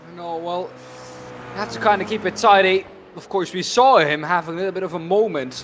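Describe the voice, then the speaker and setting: A high-pitched man speaks at a fairly quick pace with ordinary pitch variation and big swings in loudness, over noticeable background noise. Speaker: sim racing commentator. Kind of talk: live commentary.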